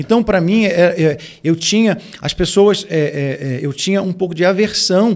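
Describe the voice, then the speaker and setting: Here a man speaks in a high pitch at a moderate pace. His pitch variation is ordinary. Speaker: pastor and music producer; pastor. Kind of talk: casual chat. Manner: halting, many repeated fillers. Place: studio. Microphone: studio mic.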